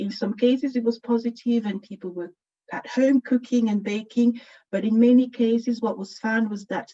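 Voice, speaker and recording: Dark and mellow, a woman's voice moves at a moderate pace with fairly even intonation and big swings in loudness. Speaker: university researcher, conference speaker. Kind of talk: conference lecture. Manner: hesitant, many fillers.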